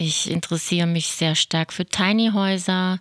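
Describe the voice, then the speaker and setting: A woman with a fairly low pitch speaks in a normal speaking voice, with ordinary pitch variation. The sound is dry and close with no echo, on a very clean recording with a silent background. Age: 50s. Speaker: podcast host, self-help group co-founder. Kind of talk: casual chat.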